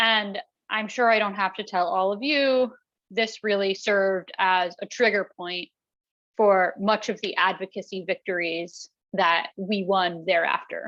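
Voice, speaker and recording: Her pace fairly slow, a woman speaks at a medium pitch with fairly even intonation. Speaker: executive director of a worker safety nonprofit. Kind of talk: presentation. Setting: talk with interpreters. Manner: slow, deliberately paced for interpreters.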